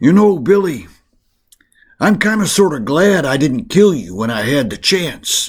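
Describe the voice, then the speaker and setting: Using a put-on character voice, a man sounds raspy and fairly high-pitched, swinging his pitch very widely at a moderate pace. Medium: read story. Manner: drawling, folksy.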